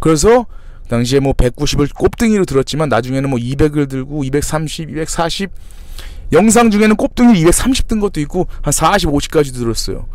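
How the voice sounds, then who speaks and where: His pitch swings very widely. The man talks fairly fast. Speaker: fitness trainer and YouTuber. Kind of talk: casual storytelling vlog.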